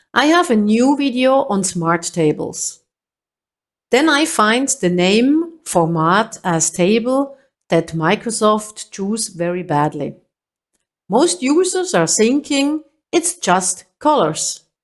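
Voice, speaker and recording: At a very slow pace, a woman with a fairly high pitch speaks with very wide pitch swings. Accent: German. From Switzerland. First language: German. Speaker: Excel trainer. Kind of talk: tutorial.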